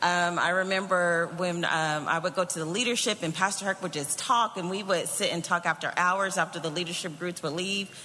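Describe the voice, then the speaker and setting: The talking moves at a fairly quick pace with hardly any pauses, over noticeable background noise. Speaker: church member giving testimony. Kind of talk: testimony.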